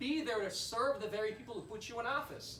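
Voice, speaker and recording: Over noticeable background noise, a man speaks in a raised, projected voice with lively intonation. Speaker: political candidate for US Congress giving a campaign speech. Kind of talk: fundraiser campaign speech.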